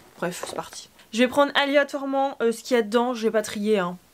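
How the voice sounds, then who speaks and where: Amid noticeable background noise, a woman talks with ordinary pitch variation. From Normandy, France. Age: 20s. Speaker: beauty youtuber and pageant queen. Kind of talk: casual haul vlog. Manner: chatty, hesitant with fillers.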